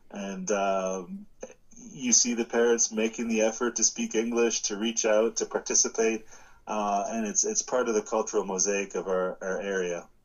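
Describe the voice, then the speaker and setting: At a moderate pace, a man with a Canadian accent speaks in an unremarkable speaking voice at a medium pitch with fairly even intonation. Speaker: law professor. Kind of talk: interview.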